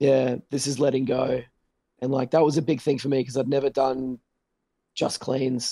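With an Australian accent, a man talks at a moderate pace in a medium pitch, his dark, mellow tone flat and monotone, broken by long, frequent pauses, in a dry, close sound with no echo. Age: 30s. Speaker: metal band vocalist. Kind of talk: casual chat.

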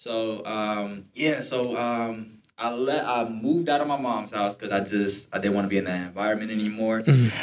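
A man at a moderate pace, hardly any pauses, ordinary pitch variation and noticeable background noise. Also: medium pitch for a man. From Detroit, Michigan. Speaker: podcast host, university student. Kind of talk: casual chat, faith testimony.

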